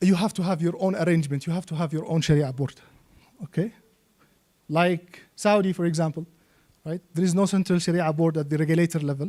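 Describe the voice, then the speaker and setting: A man with a high voice and a dark, mellow tone speaks at a fairly quick pace with fairly even intonation. Long, frequent pauses break up his speech. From Yemen. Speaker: Islamic finance expert and trainer. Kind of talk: lecture.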